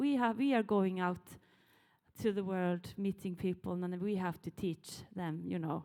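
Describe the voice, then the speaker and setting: At a moderate pace, a woman speaks with a dark, mellow tone and ordinary pitch variation. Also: medium pitch for a woman. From Sami, northern Norway. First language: Sami or Norwegian. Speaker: Sami artist and filmmaker. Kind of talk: panel discussion. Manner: halting.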